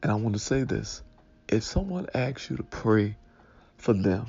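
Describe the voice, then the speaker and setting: The speaker is a man with a fairly low pitch. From Detroit, Michigan. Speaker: pastor. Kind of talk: Sunday morning devotional talk.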